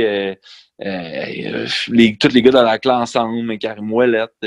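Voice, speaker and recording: A man talks at a medium pitch, the sound dry and close with no echo. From Quebec, Centre-du-Québec/Mauricie. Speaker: high school teacher and lyricist. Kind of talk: casual chat.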